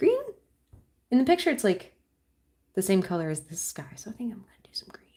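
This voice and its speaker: A woman speaks in a dark, mellow tone that is somewhat breathy. Her pitch swings very widely, her loudness shifts a great deal, and long, frequent pauses break up her speech. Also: medium pitch for a woman. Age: 30s. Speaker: artist streaming a live painting session. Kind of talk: casual live-stream chat while painting. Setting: live stream at home desk. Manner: halting, self-interrupting.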